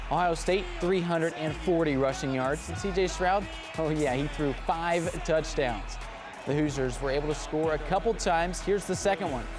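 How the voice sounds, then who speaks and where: A man talks at a fairly quick pace. Music sits in the background behind him. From Indianapolis, US. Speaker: sports anchor and reporter. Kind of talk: TV sports broadcast delivery.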